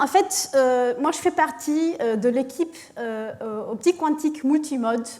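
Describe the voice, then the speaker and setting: A woman's high voice with a non-native accent, lively intonation and a very slow pace. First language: not French (speaking French). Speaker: physics professor. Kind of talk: lecture. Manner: halting, many hesitations.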